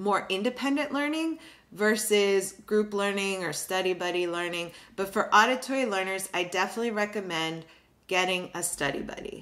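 Lively intonation from a woman, moderate in pace. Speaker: education channel host. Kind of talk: tutorial. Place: home room.

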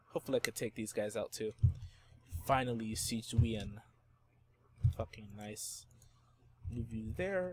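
Using a shaky, put-on character voice, a man speaks at medium pitch and a moderate pace with lively intonation.

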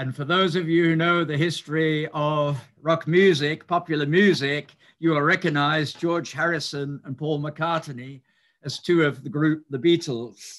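A man at a fairly slow pace, with fairly even intonation over a quiet background. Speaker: speaker. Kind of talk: lecture. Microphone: video call.

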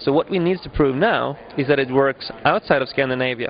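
Speaking at a fairly quick pace with ordinary pitch variation, a man is heard in a dry sound with no echo and light background noise. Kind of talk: interview answer. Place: hall. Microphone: handheld.

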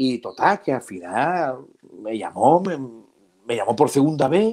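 A man's voice ranges through very wide pitch swings, with a quiet background behind him. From Jerez de la Frontera, Andalusia, Spain; Andalusia, Spain. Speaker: comedian. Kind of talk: casual chat. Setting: video call. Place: home room. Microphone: earbuds.

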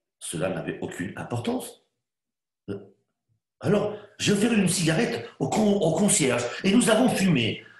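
A man's high-pitched voice with very wide pitch swings, a fairly slow pace and long, frequent pauses, audible room echo over a quiet background. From Spain, raised in France. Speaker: actor. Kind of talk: dramatized literary reading. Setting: online video call. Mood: weary, subdued, contemplative. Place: home room. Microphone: webcam.

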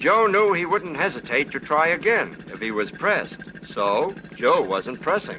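A man with a high voice talks at a fairly slow pace, his pitch swinging very widely. Noticeable background noise is present. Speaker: film narrator. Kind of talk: scripted 1950s newsreel-style narration. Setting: archive film soundtrack. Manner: brisk, wry, punchy; dramatic, tough-guy storyteller.

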